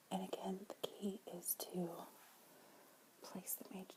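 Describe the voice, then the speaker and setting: Whispered speech from a woman, noticeable background noise behind it. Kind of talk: ASMR makeup tutorial, whispered to camera. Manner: whispered, soft-spoken.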